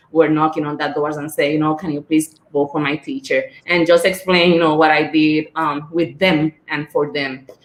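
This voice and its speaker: With a strong Spanish accent, a woman speaks at a very deep, low pitch and a moderate pace. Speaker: school board member and former teacher. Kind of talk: panel discussion.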